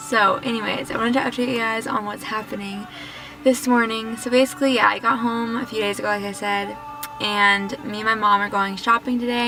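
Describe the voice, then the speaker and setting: A woman's fairly high voice at a fairly quick pace, with ordinary pitch variation and music in the background. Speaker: lifestyle vlogger. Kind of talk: casual vlog. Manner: fast.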